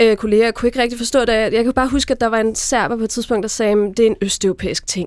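At a very fast pace, a woman speaks with a fairly high pitch and fairly even intonation. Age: 30s. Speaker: magazine editor-in-chief. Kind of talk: panel discussion. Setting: radio studio.

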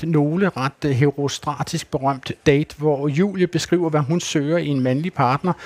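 A man talks in a plain, everyday voice with fairly high pitch and ordinary pitch variation, and the sound is dry and close with no echo. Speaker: radio host. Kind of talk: live talk show before audience. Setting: stage with audience.

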